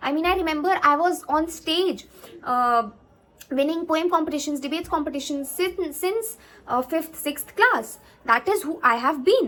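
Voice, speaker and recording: With an Indian accent, a woman speaks at an extremely high pitch, her tone bright and sharp, her intonation lively and her pace moderate. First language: Hindi. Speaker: YouTuber, CA student. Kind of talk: advice vlog. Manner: halting, many fillers.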